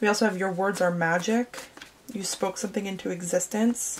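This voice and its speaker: Over noticeable background noise, a woman at medium pitch speaks with monotone, flat intonation. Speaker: tarot reader. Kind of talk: tarot reading; product promotion. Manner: casual, halting with fillers.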